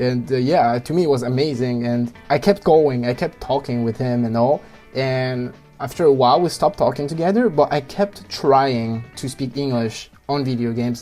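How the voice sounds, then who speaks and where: A man with a French accent at medium pitch, music in the background. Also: ordinary pitch variation, moderate pace. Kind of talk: personal story.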